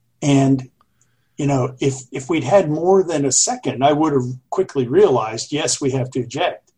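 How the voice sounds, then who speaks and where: A man with an American accent speaks at a moderate pace in a fairly high pitch with ordinary variation, his tone dark, mellow, and somewhat breathy. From US South, Jacksonville, Florida. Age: 60s. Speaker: retired Navy aviator and author. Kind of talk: interview.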